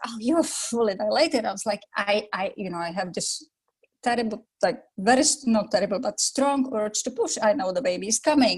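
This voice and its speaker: A woman's fairly high-pitched voice at a fairly quick pace, in a Czech accent. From Czech Republic. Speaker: yoga teacher. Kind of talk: interview. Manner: calm.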